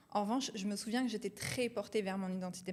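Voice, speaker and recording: A woman speaks at a medium pitch. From France, Marseille. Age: 20s. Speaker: entrepreneur, company co-founder. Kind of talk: casual interview chat.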